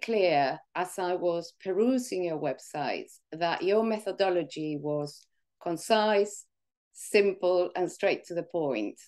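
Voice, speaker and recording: At a very slow pace, a woman speaks with lively intonation and a dark, mellow tone. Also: quiet background. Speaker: interview guest. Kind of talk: interview answer. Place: home room. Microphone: video call.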